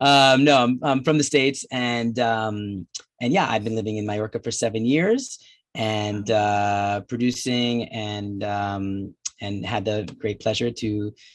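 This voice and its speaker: Fairly even intonation marks this man's medium-pitched speech in a New Jersey accent. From New Jersey, US. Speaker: documentary filmmaker. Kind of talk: film Q&A.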